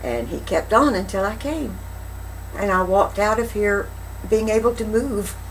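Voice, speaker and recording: A woman with a fairly high pitch and ordinary pitch variation speaks at a moderate pace, leaving long, frequent pauses, over noticeable background noise. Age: 60s. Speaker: chiropractic patient. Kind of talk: interview answer.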